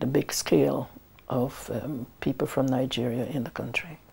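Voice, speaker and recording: Speaking fairly slowly, a woman uses a very deep, low pitch and a dark, mellow tone with vocal fry. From Guyana. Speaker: community activist, widow. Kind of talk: interview testimony. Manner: hesitant, many fillers.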